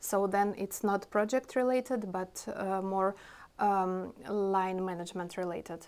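The speaker talks with a Russian accent in a flat monotone. The pace is fairly slow. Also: woman. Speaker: IT product owner; interview guest. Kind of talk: interview. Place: office. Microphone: lapel.

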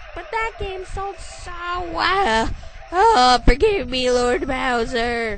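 A put-on character voice, female-sounding and high-pitched, at a very slow pace over clear background noise. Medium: fan dub. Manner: smug, fawning, then flustered.

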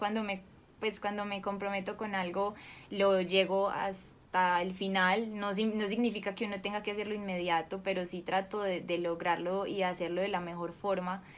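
A woman talks at a moderate pace, her intonation staying fairly even. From Colombia, Cali; raised in Medellín from 13; Colombia. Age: 20s. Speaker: actress; actress interviewee. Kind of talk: interview; interview answer. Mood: warm, smiling. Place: home room.

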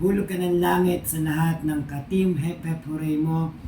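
Noticeable background noise sits behind speech delivered fairly slowly. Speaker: vlogger. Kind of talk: casual thank-you vlog.

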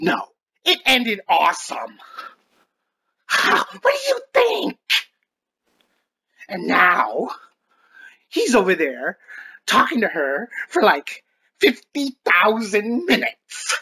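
A man talks at an extremely high pitch and a very slow pace. He leaves long, frequent pauses. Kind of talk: comic overacting. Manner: shrieking, melodramatic.

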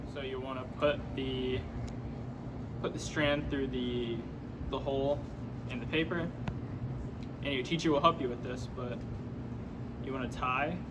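A man speaks at a moderate pace, stopping often for long pauses. Noticeable background noise runs under his voice. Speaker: student making a craft tutorial. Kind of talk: tutorial. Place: hall.

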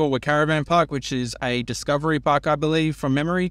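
A man speaks at a fairly quick pace in a dry recording with no echo. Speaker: travel vlogger. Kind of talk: casual vlog chat. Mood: upbeat, excited. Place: car. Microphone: phone near.

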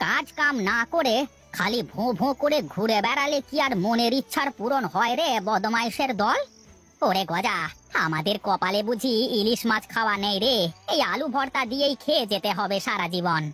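A female-sounding cartoonish character voice with a fairly high pitch and lively intonation. Its loudness stays very even over faint music in the background. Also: moderate pace. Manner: scolding, sarcastic.

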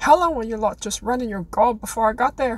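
At a fairly quick pace, a woman does a put-on character voice with a fairly high pitch and big swings in loudness. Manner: commanding, mocking.

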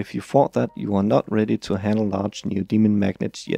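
A man speaks with a Danish accent in a dark, mellow tone. The sound is dry and close with no echo, and his pace is moderate. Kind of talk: tutorial voice-over.

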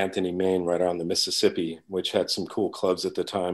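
A male speaker with an American accent, over a quiet background. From New York. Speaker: drummer. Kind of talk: casual chat. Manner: halting.

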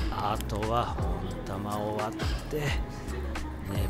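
A man's voice over loud music in the background. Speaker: former major-label bassist and lyricist. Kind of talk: casual talk to camera while eating and drinking. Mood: relaxed, playful. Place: cafe. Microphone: phone near.

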